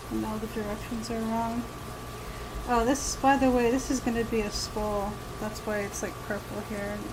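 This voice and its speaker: A soft-spoken woman talks at a fairly slow pace in a fairly high pitch with ordinary pitch variation, amid noticeable background noise and audible room echo. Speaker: artist live-streaming. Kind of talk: casual live stream chat while drawing. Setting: live stream.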